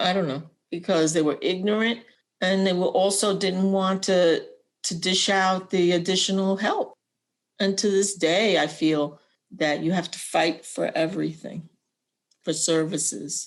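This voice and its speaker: A woman speaks in a normal speaking voice at a medium pitch and fairly slow pace. Her intonation is fairly even, and the background is quiet. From Puerto Rican family, raised in US. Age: 60s. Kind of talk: personal testimony.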